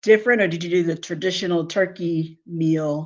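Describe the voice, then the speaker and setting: With an American accent, a woman speaks at a moderate pace in a medium pitch with fairly even intonation. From US Northeast, Philadelphia. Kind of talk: casual live stream chat. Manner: loud.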